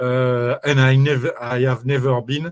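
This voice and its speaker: Very slowly, a man talks at a medium pitch. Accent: French. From France. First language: French. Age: 60s. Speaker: network marketing promoter, former DJ. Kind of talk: interview. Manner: halting, many fillers.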